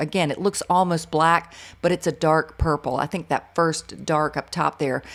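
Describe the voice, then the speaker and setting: A woman with an American accent speaks in a relaxed tone. Her pace is fairly quick. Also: very clean recording, silent background. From US South. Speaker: art teacher. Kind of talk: tutorial. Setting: studio. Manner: relaxed, comfortable pace.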